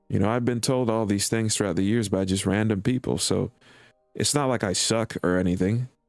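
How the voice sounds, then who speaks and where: Over music in the background, the speaker talks at a fairly quick pace with fairly even intonation and very even loudness. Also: man, fairly low pitch for a man. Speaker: streamer and hobby musician. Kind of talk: casual chat.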